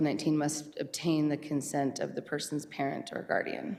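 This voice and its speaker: A woman's very deep, low voice with vocal fry, at a moderate pace. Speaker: school district administrator. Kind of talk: board meeting presentation. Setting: school board meeting. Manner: loud.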